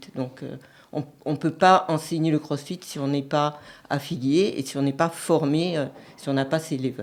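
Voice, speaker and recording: A woman's very deep, low voice, fairly even in intonation, at a fairly slow pace. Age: 60s. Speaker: CrossFit gym owner and coach. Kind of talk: radio interview. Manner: hesitant, many fillers.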